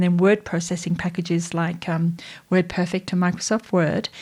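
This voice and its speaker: A dark, mellow tone delivered with an Australian accent. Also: woman, very clean recording, silent background. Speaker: AI strategist and educator. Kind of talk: tutorial. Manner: conversational.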